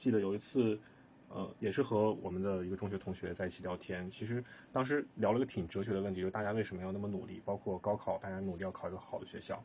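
Somewhat breathy speech at a very fast pace with fairly even intonation. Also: man, fairly low pitch for a man. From northern China. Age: 30s. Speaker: real estate project manager. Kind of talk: casual chat.

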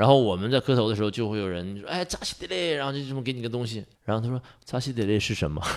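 This man's medium-pitched voice races along very fast, its pitch varying in an ordinary way. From Northeast China, Jiamusi, Heilongjiang. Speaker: adventurous traveler. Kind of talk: casual chat. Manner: animated.

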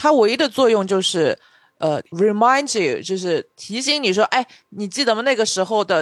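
A woman's fairly high, animated voice with lively intonation and a fairly quick pace, recorded very cleanly against a silent background with a dry, close sound and no echo. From Shanghai. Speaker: podcast co-host. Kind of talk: casual chat.

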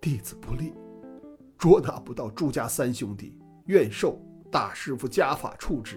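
A shaky, put-on character voice from a man, medium in pitch, at a moderate pace with lively intonation, long and frequent pauses, and music in the background. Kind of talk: formal, deferential. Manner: trembling, fearful.

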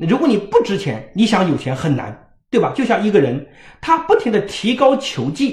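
This man's voice is high-pitched, with very wide pitch swings. His pace is moderate. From rural China. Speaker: parenting educator. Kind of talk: lecture. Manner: animated.

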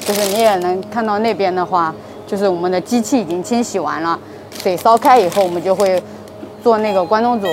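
Through noticeable background noise, a woman of medium pitch speaks with ordinary pitch variation. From Anhui, China. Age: young. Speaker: convenience store manager. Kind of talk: interview. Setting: in a convenience store at night. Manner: halting, with many fillers.

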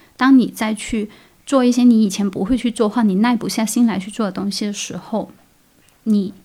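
A woman's somewhat breathy voice with a dark, mellow tone, fairly high pitch, fairly even intonation and a moderate pace. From Guangdong, China. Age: 30s. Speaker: freelance artist. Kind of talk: casual interview. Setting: courtyard. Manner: smiling, laughing often; hesitant, many fillers.

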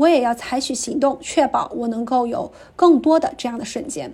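A woman speaks with a high pitch and a dark, mellow tone. Her pace is moderate. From small county town in Anhui, China. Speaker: listener submitting a recorded story. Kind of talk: reading aloud.

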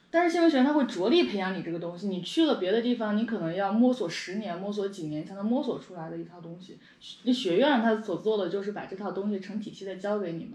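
Words come at a very fast pace. Background noise is noticeable. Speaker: podcast and video host. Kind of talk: casual chat. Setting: recording over a meal.

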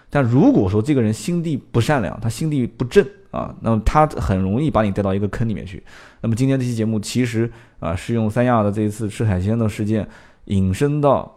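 A man's dark, mellow voice at medium pitch, fairly quick, with ordinary pitch variation, in a very clean recording over a silent background. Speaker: car talk show host and former car salesman. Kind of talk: casual solo talk show monologue. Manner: chatty storyteller.

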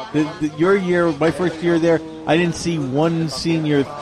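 A man amid noticeable background noise. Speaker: podcast co-host. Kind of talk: casual chat. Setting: cafe.

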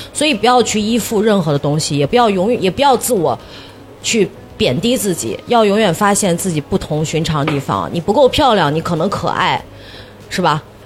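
A woman's animated, fairly quick voice at a medium pitch, with very wide pitch swings and noticeable background noise. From northern Shaanxi, China. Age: 40s. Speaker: TV host and livestreamer. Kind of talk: casual chat. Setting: stage with live audience.

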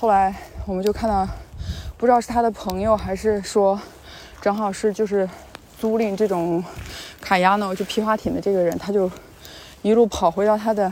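A woman speaks at a medium pitch and a moderate pace, in a monotone, flat way, with long, frequent pauses. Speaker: travel vlogger. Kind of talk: casual vlog narration.

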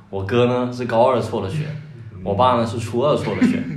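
A man talks at a fairly quick pace with fairly even intonation. The room echo is audible, and there is noticeable background noise. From Guangdong, China. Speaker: comedy writer. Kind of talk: casual chat.

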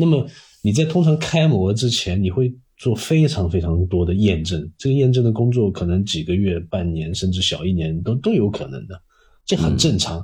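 A man's fairly low, somewhat breathy voice with a dark, mellow tone and very wide pitch swings, on a very clean recording with a silent background. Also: moderate pace. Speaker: industrial designer. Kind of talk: casual interview chat.

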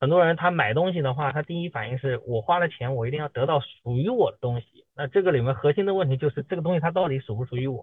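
A man talking very fast with hardly any pauses. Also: fairly high pitch for a man, ordinary pitch variation. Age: 30s. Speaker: car owner, auto supply chain worker. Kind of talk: casual chat. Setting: online meeting.

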